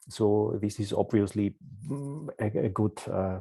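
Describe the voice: A man speaks at a fairly slow pace with a fairly low pitch. His tone is dark and mellow, with a slightly husky edge. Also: ordinary pitch variation.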